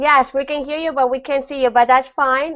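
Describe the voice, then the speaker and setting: A woman with a non-native accent, at a moderate pace. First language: not English. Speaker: online panel host. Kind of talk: casual online panel chat. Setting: video call. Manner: halting.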